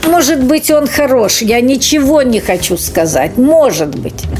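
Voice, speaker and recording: A woman speaks at a very slow pace with lively intonation, over noticeable background noise. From Kazakhstan, Pavlodar region village. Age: 70s. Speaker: music school librarian, former school director. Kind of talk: radio interview. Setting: recorded at the school.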